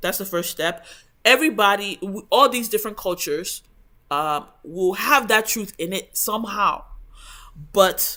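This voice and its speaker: Recorded very cleanly against a silent background, the speaker has an English accent and talks at a fairly slow pace. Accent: English-accented Igbo, poor Igbo intonation. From Igbo heritage raised abroad in English-speaking country. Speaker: book study channel host. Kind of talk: book review talk. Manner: hesitant, many fillers.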